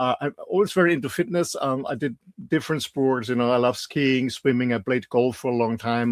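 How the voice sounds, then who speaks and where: A man with an Austrian accent speaks at a fairly quick pace and medium pitch, recorded very cleanly against a silent background. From Austria, mountains. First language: German. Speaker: health show co-host. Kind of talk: casual interview chat. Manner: halting, many repeats and fillers.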